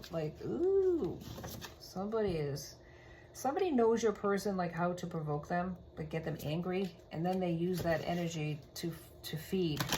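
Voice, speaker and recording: A woman with a fairly low pitch at a moderate pace, with noticeable background noise and audible room echo. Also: ordinary pitch variation. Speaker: tarot reader. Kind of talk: tarot reading.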